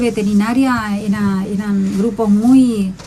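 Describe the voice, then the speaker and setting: A woman with an Argentine accent speaks at a medium pitch with ordinary pitch variation against noticeable background noise. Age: 60s. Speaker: agronomist. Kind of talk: radio interview.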